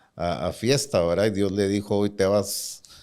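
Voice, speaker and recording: A man speaks in a plain, everyday voice at a fairly low pitch. His pace is fairly quick. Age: 60s. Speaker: bank CEO. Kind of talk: interview.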